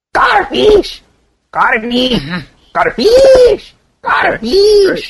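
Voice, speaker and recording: In a put-on character voice with extremely high pitch, the speaker goes at a very slow pace with long, frequent pauses. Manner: repeated cartoonish cry.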